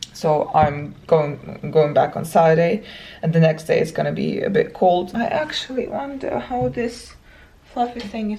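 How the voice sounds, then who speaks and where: A woman speaks with a non-native accent. Noticeable background noise runs behind her. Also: moderate pace. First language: not English. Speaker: travel vlogger. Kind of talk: casual vlog talk to camera. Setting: hotel room. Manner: uneven intonation and pauses.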